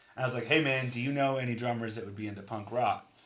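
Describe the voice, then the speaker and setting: Over noticeable background noise, a man talks very fast at medium pitch with fairly even intonation. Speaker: podcast co-host and musician. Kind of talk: casual chat. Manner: loud.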